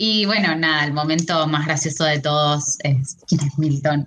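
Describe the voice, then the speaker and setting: Very deep, low pitch from a woman with a Rioplatense accent, somewhat breathy, at a moderate pace. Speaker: podcast co-host. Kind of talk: casual chat.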